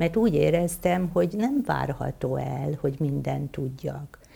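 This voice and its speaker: Dark and mellow, a woman's very deep, low voice moves at a fairly slow pace. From Hungary, Veszprém county. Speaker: physician and writer. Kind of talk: interview on stage. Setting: stage with audience.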